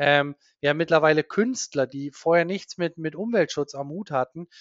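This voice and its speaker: A man is speaking. His pace is moderate. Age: 40s. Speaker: diving instructor and marine conservation campaigner. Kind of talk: interview. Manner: halting, many fillers and repetitions.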